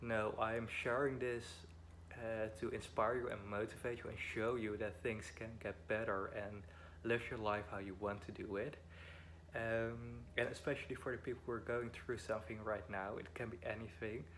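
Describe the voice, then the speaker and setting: A man with a Dutch accent, fairly low in pitch, at a moderate pace, with audible room echo. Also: ordinary pitch variation. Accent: Dutch accent, weird pronunciation. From Netherlands. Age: 20s. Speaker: vlogger. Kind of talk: personal vlog, life story. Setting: at home. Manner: halting, many fillers.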